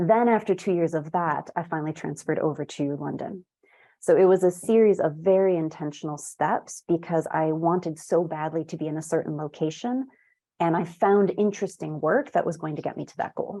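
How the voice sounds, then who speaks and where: A woman with an American accent, fairly low-pitched and dark, mellow in tone, at a fairly quick pace with ordinary pitch variation against a quiet background. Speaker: tech account manager. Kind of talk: interview.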